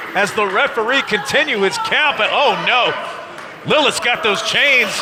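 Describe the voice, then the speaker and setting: A man's extremely high voice at a fairly slow pace, over noticeable background noise. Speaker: wrestling play-by-play commentator. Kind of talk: live sports commentary. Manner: excited.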